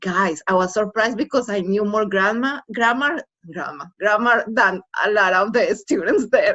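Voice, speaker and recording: A woman with a Spanish accent talks at a fairly high pitch and moderate pace, her intonation lively. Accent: foreign accent, Spanish. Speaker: former college student. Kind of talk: casual chat.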